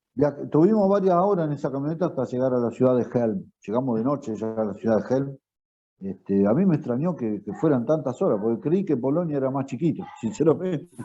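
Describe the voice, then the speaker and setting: The speaker talks at a fairly quick pace with lively intonation and a Rioplatense accent. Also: man, fairly high pitch for a man. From Argentina. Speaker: retired teacher. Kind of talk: interview answer.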